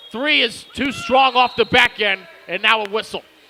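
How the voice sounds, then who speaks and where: A man uses a raised, projected voice with ordinary pitch variation against noticeable background noise. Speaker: basketball play-by-play commentator. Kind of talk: live commentary.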